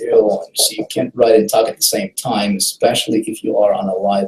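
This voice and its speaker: This man has a non-native accent. He talks at a fairly quick pace. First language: not English. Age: adult, past college. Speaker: online marketing trainer. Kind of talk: live webinar training. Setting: live video hangout.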